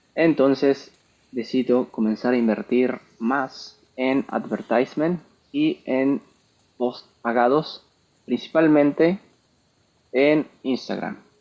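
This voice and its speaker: A man with a Mexican accent speaks at a medium pitch with very even loudness, ordinary pitch variation and long, frequent pauses. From Mexico. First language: Spanish. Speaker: entrepreneur and software developer. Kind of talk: tech talk presentation. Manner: code-switching English and Spanish.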